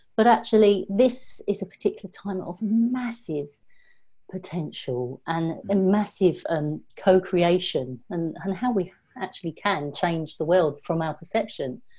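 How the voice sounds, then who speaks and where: A woman speaks at a fairly slow pace with lively intonation and a medium pitch. Her tone is dark and mellow, somewhat breathy. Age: 50s. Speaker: Kundalini yoga teacher and energy healer. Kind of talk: casual chat.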